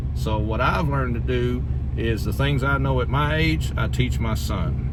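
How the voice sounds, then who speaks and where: A man's very deep, low, monotone voice with a rural Southern US accent, amid noticeable background noise and audible room echo. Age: 40s. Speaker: YouTuber. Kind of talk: casual chat.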